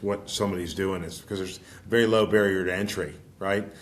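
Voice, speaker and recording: With an American accent, a man talks at a very fast pace in a fairly low pitch and fairly even intonation. Audible room echo surrounds his voice. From Pittsburgh, Pennsylvania. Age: 60s. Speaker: financial advisor and firm founder. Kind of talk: podcast interview. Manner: halting, many repetitions; folksy.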